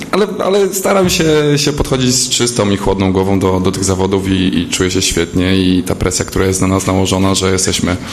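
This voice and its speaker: A fairly low-pitched man at a very fast pace, with audible room echo and noticeable background noise. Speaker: pole vaulter. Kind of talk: press conference answers.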